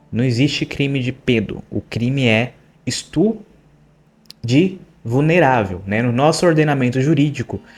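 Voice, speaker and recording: Speaking at a fairly slow pace, a man keeps to a medium pitch. He leaves long, frequent pauses. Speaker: true crime psychology youtuber. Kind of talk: true crime commentary.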